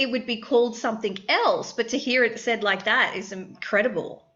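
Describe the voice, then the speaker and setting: With an Australian accent, a woman speaks in a high pitch and fairly even intonation against noticeable background noise. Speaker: therapist and podcast host. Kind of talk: interview.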